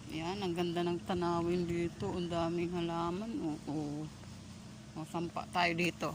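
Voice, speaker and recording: Soft-spoken and fairly low-pitched, a woman talks at a very slow pace with long, frequent pauses, and the room echo is audible. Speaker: vlogger. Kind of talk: walking vlog narration. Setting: outdoors walking.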